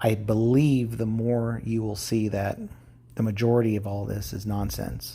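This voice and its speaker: Fairly low in pitch, a man's somewhat breathy voice has a dark, mellow tone and fairly even intonation. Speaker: YouTube vlogger. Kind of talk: casual monologue to camera. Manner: halting, many fillers.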